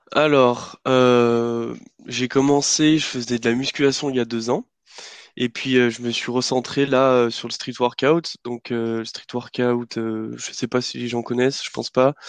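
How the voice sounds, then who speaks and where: The man's medium-pitched voice has monotone, flat intonation and a fairly slow pace. The sound is dry and close, with no echo. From France, Lyon. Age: 20s. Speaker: engineering student. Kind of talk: casual chat.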